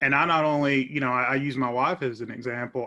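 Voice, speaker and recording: This man has an eastern Kentucky accent and a bright, sharp tone, speaking at a medium pitch with fairly even intonation. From eastern Kentucky, Clay County. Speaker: law professor and attorney. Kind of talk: interview. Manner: hesitant, repeats words.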